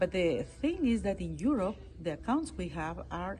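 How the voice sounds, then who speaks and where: Moderate pace in a Peruvian accent. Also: woman. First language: Spanish. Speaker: international court judge. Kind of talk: interview. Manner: halting.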